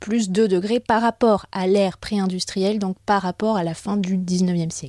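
Recorded very cleanly against a silent background, a woman's dark, mellow voice moves at a fairly slow pace with ordinary pitch variation in dry, close sound with no echo. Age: 30s. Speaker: journalist and podcast host. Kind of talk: scripted narration.

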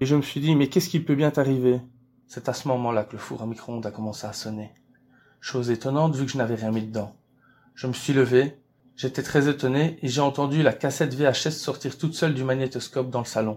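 A man speaks at a fairly quick pace and a medium pitch. He has a plain, everyday voice with fairly even intonation. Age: 30s. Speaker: actor, director and author. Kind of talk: interview answers, seemingly read.

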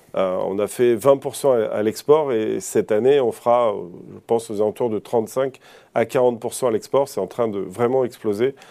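A man talks in a plain, everyday voice at a medium pitch. His pace is fairly slow and his intonation fairly even. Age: 50s. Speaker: company CEO. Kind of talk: TV business interview. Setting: TV studio.

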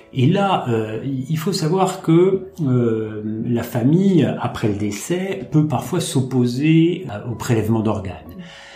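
Amid noticeable background noise and audible room echo, a man at medium pitch makes very wide pitch swings. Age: 50s. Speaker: kidney transplant patient. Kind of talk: testimony. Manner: halting.

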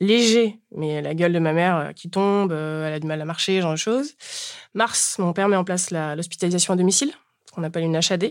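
In a very clean recording with a silent background, a woman with a plain, everyday voice speaks fairly quickly at a fairly low pitch with ordinary pitch variation. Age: 30s. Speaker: bereaved daughter sharing her story. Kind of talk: testimony. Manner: casual, colloquial.

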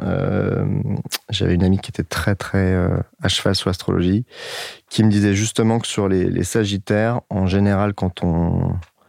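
In a very clean recording with a silent background and a dry, close sound with no echo, a man speaks at a fairly slow pace with a fairly low pitch and monotone, flat intonation. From northern France, Lille. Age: 30s. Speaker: dating podcast guest. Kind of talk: casual interview. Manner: calm, thoughtful.

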